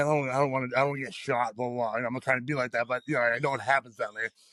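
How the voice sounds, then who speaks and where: A man speaks loudly at a very fast pace in a bright, sharp tone. The sound is dry and close, with no echo. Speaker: powerlifter. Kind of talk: casual chat.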